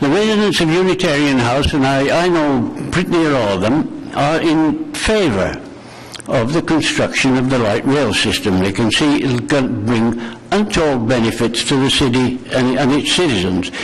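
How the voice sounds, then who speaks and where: The speaker's lively intonation and moderate pace come with very even loudness, noticeable background noise and audible room echo. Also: man, fairly high pitch for a man. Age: 80s+. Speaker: war veteran. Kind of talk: public delegation testimony. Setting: council committee meeting.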